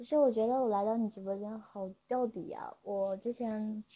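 A woman speaks with a fairly high pitch and fairly even intonation. Hers is a plain, everyday voice. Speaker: sleep-aid streamer. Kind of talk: casual call-in chat.

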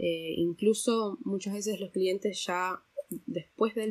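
A woman with a normal speaking voice talks at a moderate pace with fairly even intonation. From Argentina, raised partly abroad (diplomat's daughter). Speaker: translator. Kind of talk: interview.

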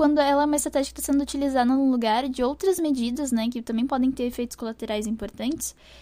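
Dark and mellow in tone, a woman's voice sits at a high pitch. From southern Brazil, Porto Alegre. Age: 20s. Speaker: speech therapy graduate student. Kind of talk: academic interview presentation.

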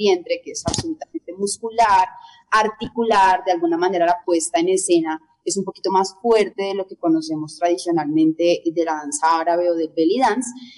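Using a plain, everyday voice, a woman speaks at a moderate pace with a medium pitch and ordinary pitch variation. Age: 30s. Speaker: belly dancer and dance teacher. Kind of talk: interview.

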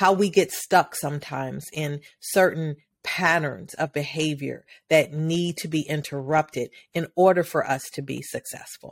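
The recording is very clean, with a silent background. A woman with an American accent speaks at a very deep, low pitch. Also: fairly even intonation, moderate pace. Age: 50s. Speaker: podcast host, women's empowerment speaker. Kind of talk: solo monologue, motivational talk. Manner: hesitant with frequent fillers.

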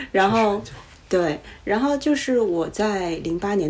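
Her intonation is lively as this woman talks at a fairly slow pace and a medium pitch. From Beijing, China. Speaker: podcast guest. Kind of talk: casual chat.

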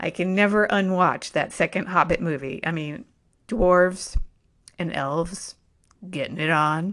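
A woman speaks fairly slowly in a fairly low voice with an animated tone and ordinary pitch variation. The background is quiet. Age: 50s. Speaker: podcast host. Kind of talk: casual monologue.

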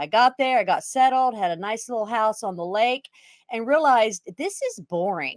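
On a very clean recording with a silent background, a woman with a Texan accent speaks at a fairly high pitch with lively intonation, in a dry, close sound with no echo. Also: moderate pace. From Texas. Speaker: retired police officer and RV club owner. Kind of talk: interview.

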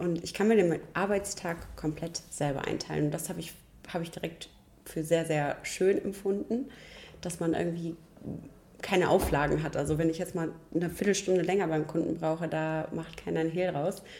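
Speaking at a moderate pace, a woman uses an ordinary speaking voice with fairly low pitch. Her intonation stays fairly even. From rural Germany. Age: young. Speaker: chimney sweep master. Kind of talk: interview.

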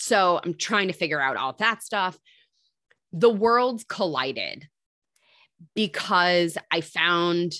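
A woman with an American accent has a fairly low pitch and a bright, sharp tone. Her intonation is lively, and the recording is very clean with a silent background. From Michigan. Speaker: health coach. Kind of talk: casual chat.

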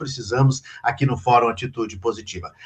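A man is talking at a fairly quick pace. His voice is somewhat breathy. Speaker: live show host and editor. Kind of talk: moderated live panel discussion. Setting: live online stream.

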